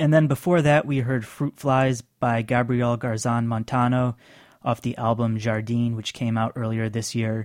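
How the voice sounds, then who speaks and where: A man with a plain, everyday voice at a medium pitch, moderate pace and fairly even intonation, the sound dry and close with no echo, on a very clean recording with a silent background. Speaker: radio host. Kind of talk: radio dj patter. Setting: studio. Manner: conversational, easy-going, informal.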